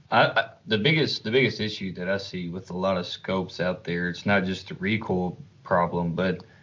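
Delivered at a moderate speed, the speech keeps its intonation fairly even. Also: man. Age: 20s. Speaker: podcast host, bow hunter. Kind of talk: casual chat.

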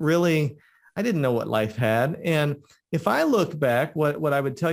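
A man speaks in a plain, everyday voice at a fairly high pitch with lively intonation. The recording is very clean, with a silent background. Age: 40s. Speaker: podcast host. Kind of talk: interview conversation.

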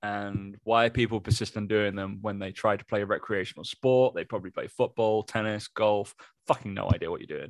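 With an English accent, a man speaks at a moderate pace in a fairly low pitch. His intonation stays fairly even, and the sound is dry and close with no echo. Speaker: fitness podcast co-host and personal trainer. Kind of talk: casual chat.

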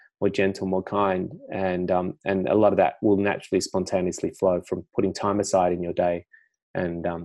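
A man talks in a very deep, low voice with monotone, flat intonation. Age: 50s. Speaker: meditation teacher, former finance broker. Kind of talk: interview conversation.

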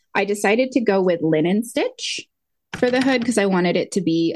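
A woman has a normal speaking voice, talking at a fairly quick pace with a medium pitch and lively intonation. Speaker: podcast co-host, yarn dyer. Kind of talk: casual chat.

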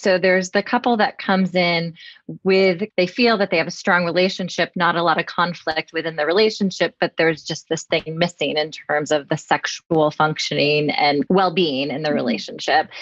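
A normal speaking voice goes at a moderate pace with hardly any pauses. The sound is dry and close, with no echo. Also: woman. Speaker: podcast host, mental health clinician. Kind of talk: interview.

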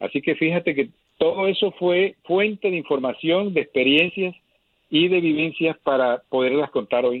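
At a moderate pace, a man talks in a high voice with ordinary pitch variation and very even loudness. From Colombia, Caribbean coast (Lorica). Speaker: journalist and travel broadcaster. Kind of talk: interview.

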